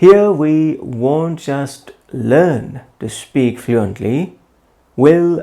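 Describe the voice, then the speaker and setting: A man with a non-native accent, fairly high in pitch, with a dark, mellow tone at a very slow pace. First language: not English. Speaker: English teacher. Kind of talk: channel introduction.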